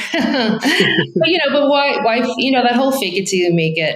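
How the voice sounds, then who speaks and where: A woman speaks with a strong Brooklyn accent. Her intonation is lively. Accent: thick Brooklyn. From New York, Brooklyn. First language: Italian. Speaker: real estate agent. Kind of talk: interview.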